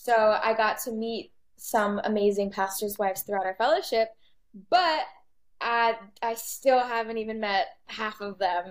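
A woman with an American accent and an unremarkable speaking voice talks at a fairly slow pace with a fairly high pitch and ordinary pitch variation, on a very clean recording with a silent background. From Texas. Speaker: podcast host, pastor's daughter. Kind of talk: casual interview.

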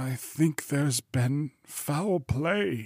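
A put-on character voice at a low-to-middle pitch

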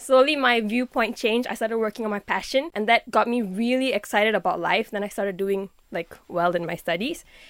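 A woman with an unremarkable speaking voice talks at a fairly quick pace and fairly high pitch, with ordinary pitch variation, in a very clean, dry, close recording with a silent background and no echo. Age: 20s. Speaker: musician and youth movement co-founder. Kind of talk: interview.

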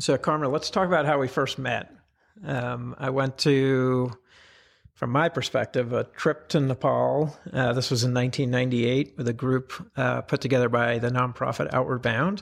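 A man at a medium pitch and moderate pace, with an ordinary speaking voice. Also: fairly even intonation. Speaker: podcast host. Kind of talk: casual interview.

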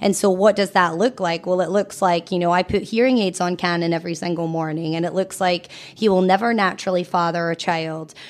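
A woman talks with a Scottish accent. Her intonation is fairly even and her pace fairly quick. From Scotland. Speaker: cancer charity founder and mother. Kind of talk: casual interview.

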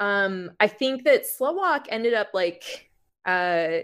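A woman with an American accent speaks at a medium pitch with lively intonation. Hers is an unremarkable speaking voice. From Florida, Miami (Cuban American family). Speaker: music journalist. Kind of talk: casual chat. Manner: frequent laughter and filler words.

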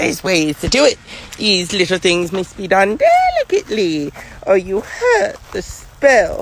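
Someone does a put-on character voice with a sinister tone at a fairly high pitch. The pace is moderate, and background noise is clear. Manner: cackling, sinister.

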